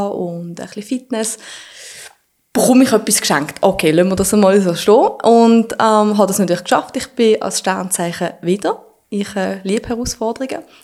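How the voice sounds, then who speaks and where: A woman talks at a moderate pace and medium pitch with ordinary pitch variation, in an unremarkable speaking voice. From Switzerland, Basel. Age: 30s. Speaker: fitness influencer. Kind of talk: casual interview.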